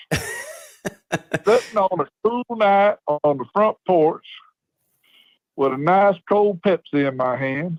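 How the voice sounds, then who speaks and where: Recorded with a dry, close sound and no echo, a man with a Southern US accent speaks at a very slow pace, with a high pitch and lively intonation. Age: 60s. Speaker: caller, local football fan. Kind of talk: phone-in chat. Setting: phone call. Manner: animated.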